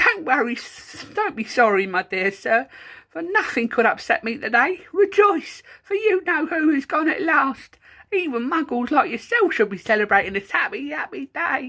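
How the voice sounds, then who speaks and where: A squeaky, high-pitched put-on character voice with very wide pitch swings at a moderate pace, in a very clean recording with a silent background. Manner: gleeful, joyful.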